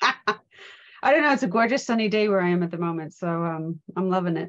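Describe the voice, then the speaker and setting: A woman's medium-pitched voice with an American accent, lively intonation, and a fairly quick pace. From US, Pennsylvania. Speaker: trauma and safeguarding trainer. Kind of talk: live online event interview.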